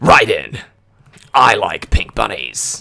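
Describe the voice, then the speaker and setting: A man in a put-on character voice. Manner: gruff, serious.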